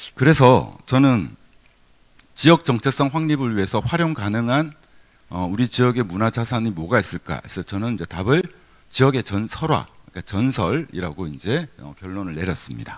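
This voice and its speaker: A man speaks at medium pitch, his pitch swinging very widely. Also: moderate pace. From Gyeongsang region, South Korea. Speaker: university professor. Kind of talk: keynote lecture. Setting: conference hall with audience. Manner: conversational, with fillers and self-corrections.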